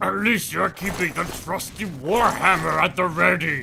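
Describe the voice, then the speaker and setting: Over clear background noise, a man puts on a character voice, high-pitched and delivered at a moderate pace. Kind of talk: comedic let's play commentary in character. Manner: over-the-top, enthusiastic.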